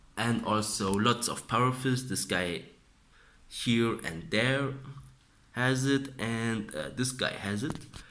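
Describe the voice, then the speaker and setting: This man speaks with a non-native accent. His pitch is medium. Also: ordinary pitch variation. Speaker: miniature hobbyist. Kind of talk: casual talk to camera.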